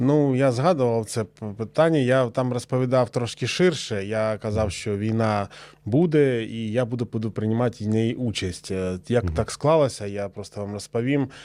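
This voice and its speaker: A man's dark, mellow voice at medium pitch, with ordinary pitch variation and a moderate pace, on a very clean recording with a silent background. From eastern Ukraine, Luhansk region. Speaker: war veteran, former partisan. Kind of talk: interview testimony. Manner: halting, with many fillers.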